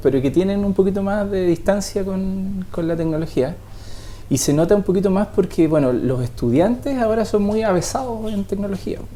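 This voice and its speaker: Noticeable background noise sits under the speech. The pace is moderate and the intonation lively. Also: man. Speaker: software developer in education. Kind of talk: TV interview. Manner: halting.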